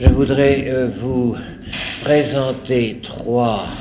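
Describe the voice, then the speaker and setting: A man's speech carries audible room echo and noticeable background noise. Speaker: priest lecturer. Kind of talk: lecture. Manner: hesitant.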